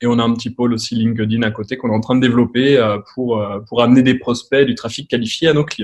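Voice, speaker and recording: A man with a medium-pitched voice talks very fast in a flat, monotone delivery. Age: 30s. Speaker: advertising agency owner, former physiotherapist. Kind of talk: podcast interview. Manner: casual, hesitant with many fillers.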